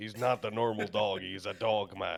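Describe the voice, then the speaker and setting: Putting on a character voice, a man speaks at a fairly low pitch and a moderate pace with monotone, flat intonation. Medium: actual play.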